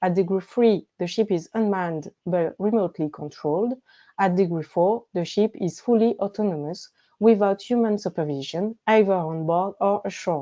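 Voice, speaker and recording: Her pace moderate and her pitch medium, a woman speaks with ordinary pitch variation. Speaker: legal researcher presenting at a webinar. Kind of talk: presentation. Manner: formal; very quiet. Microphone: mic scratching, too quiet.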